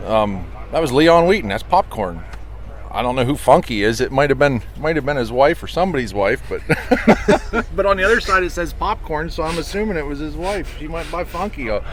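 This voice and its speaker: Someone with an American accent talks at a fairly quick pace, with noticeable background noise. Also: man. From Pennsylvania, US. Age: 40s. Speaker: truck restoration shop owner, former long-haul trucker. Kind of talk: casual interview.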